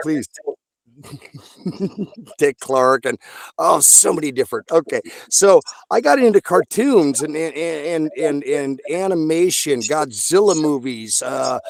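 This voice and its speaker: A man speaks at a fairly high pitch, with lively intonation and a fairly slow pace. Long, frequent pauses break up the speech, and the sound is dry and close with no echo. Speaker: voice actor. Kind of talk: interview answer. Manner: casual, enthusiastic.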